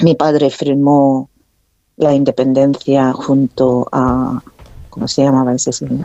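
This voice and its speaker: A woman speaks with a Korean accent at a very slow pace. Her very deep, low pitch holds a monotone, flat intonation. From North Korea. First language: Korean (speaking Spanish). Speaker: author. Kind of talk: interview. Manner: halting.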